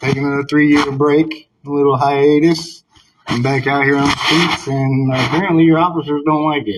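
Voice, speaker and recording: A man speaks in a monotone with flat intonation at a fairly high pitch. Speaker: citizen journalist filming police. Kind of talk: casual conversation at police front desk. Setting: police station lobby. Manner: fast.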